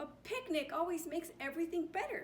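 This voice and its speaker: A woman does a squeaky, put-on character voice at an extremely high pitch, very fast, with lively intonation. Background noise is clearly heard. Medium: read story.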